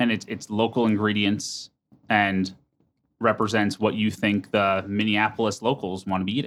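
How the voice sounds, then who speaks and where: A man's fairly low voice with an American accent and monotone, flat intonation. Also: moderate pace. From New Jersey, US. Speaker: podcast host. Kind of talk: interview. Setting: studio.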